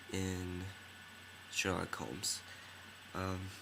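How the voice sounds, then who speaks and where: In a room with audible echo, a man with a very deep, low pitch and a bright, sharp tone speaks at a very slow pace with ordinary pitch variation. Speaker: film reviewer. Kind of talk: casual video review. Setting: dimly lit room at night. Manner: hesitant, many fillers.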